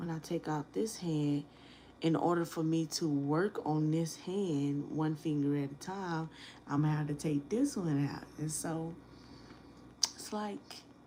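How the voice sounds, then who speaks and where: A soft-spoken woman with a very deep, low pitch and a dark, mellow tone, fairly even intonation, and a fairly slow pace. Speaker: nail tech. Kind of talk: live stream tutorial. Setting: live stream at home.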